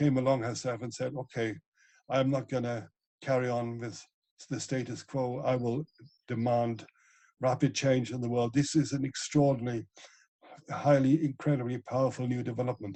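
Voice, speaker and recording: Dark and mellow in tone, a man's medium-pitched voice stays flat and monotone. His pace is moderate, broken by long, frequent pauses. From Germany, Ruhr area (Essen). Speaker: ecologist and author. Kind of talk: interview.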